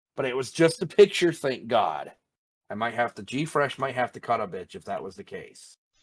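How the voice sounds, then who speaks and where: A man at a moderate pace in a normal speaking voice, with lively intonation. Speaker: anime podcast host. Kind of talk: casual chat.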